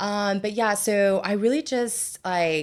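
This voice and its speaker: This woman speaks at a very slow pace. The recording is very clean, with a silent background. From California and Mexico, Mexican-American family. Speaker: cancer survivor sharing her story. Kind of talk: podcast interview, personal testimony. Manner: many fillers, casual hesitant.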